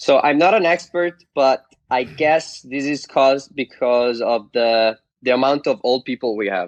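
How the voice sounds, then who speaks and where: A man with an Italian accent at a fairly slow pace, medium pitch and ordinary pitch variation, in a dry, close sound with no echo. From Italy. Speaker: internet influencer. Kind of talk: casual chat.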